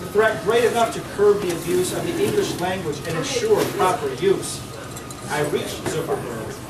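Someone speaks at a moderate pace, with loud noise in the background. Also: man. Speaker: open mic reader. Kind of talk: humorous poetry reading. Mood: playful, comic. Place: cafe.

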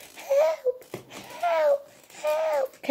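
This put-on character voice is high-pitched and squeaky. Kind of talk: comedic imitation. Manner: pleading, weak.

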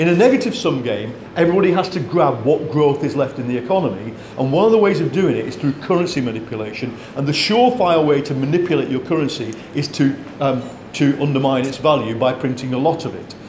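A man talking at a very fast pace with lively intonation, audible room echo and light background noise. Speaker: economics commentator. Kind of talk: panel discussion. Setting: stage with audience. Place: meeting room.

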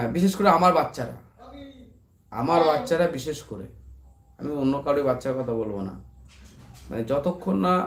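A fairly high-pitched male voice with lively intonation. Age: 30s. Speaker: YouTuber and barber. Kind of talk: casual live stream chat. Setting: late-night live stream at home.

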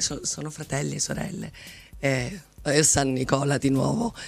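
A woman's very deep, low voice at a moderate pace. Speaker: artistic director of a dance company. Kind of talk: radio interview. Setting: radio studio. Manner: halting. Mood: passionate, reflective. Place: studio. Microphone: studio mic.

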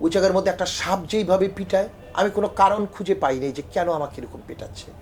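High-pitched for a man, this male voice has lively intonation. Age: 50s. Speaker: opposition party politician. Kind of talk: interview testimony.

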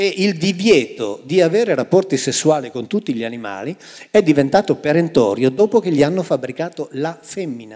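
Fairly high in pitch yet dark and mellow in tone, a man speaks at a fairly quick pace. His pitch swings very widely over a quiet background. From northwestern Italy, near France. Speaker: Bible translator and author; guest. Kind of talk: public talk on stage. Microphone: handheld.

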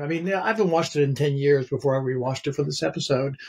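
A man speaks with an American accent. His voice is fairly high and somewhat breathy. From North Carolina, US South. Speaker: theater professor and novelist; theater professor. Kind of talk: casual film discussion. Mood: relaxed, thoughtful. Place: home room.

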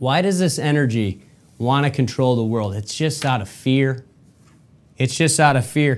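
Speaking at a moderate pace with ordinary pitch variation, a man talks with an American accent. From Michigan, US. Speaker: podcast host. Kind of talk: solo commentary monologue. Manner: animated, repetitive. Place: studio.

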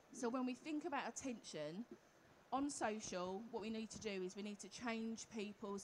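Over light background noise, a woman with a somewhat breathy voice speaks at a moderate pace with ordinary pitch variation. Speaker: conference presenter. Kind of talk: lecture. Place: hall.

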